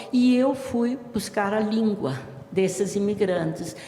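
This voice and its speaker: A woman talks at a fairly slow pace with ordinary pitch variation, heard with audible room echo and noticeable background noise. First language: Italian dialect (Talian) (speaking Portuguese). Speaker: writer and language researcher, professor. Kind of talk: interview.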